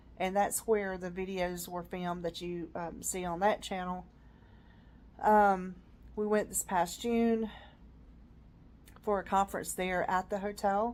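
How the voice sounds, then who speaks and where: In a very clean recording with a silent background, a woman with a Southern US accent speaks at a moderate pace and medium pitch, using monotone, flat intonation and long, frequent pauses. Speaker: vlogger. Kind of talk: casual personal vlog. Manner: hesitant, many fillers.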